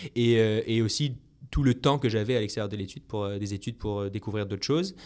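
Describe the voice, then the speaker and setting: A man at a medium pitch talking at a very fast pace with ordinary pitch variation, on a very clean recording with a silent background. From France, Brittany. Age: 30s. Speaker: entrepreneur and ultramarathon runner. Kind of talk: podcast interview. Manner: hesitant, many fillers.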